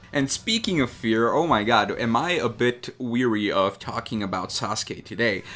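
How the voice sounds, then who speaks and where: A man's medium-pitched voice with a non-native accent and a bright, sharp tone, at a moderate pace with hardly any pauses and ordinary pitch variation. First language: not English. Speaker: drawing YouTuber. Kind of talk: unscripted casual talk while drawing. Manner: hesitant, many fillers.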